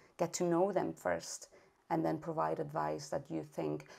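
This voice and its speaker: A woman at a moderate pace with a Spanish accent, against a quiet background. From Spain (Catalonia). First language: Spanish or Catalan. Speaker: early intervention specialist and parent. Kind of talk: interview conversation. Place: home room. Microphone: video call.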